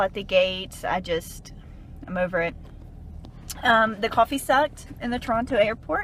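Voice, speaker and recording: Over noticeable background noise, a woman with a Southern US accent speaks at a medium pitch and a moderate pace. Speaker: dietitian and travel blogger. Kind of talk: casual rant to camera.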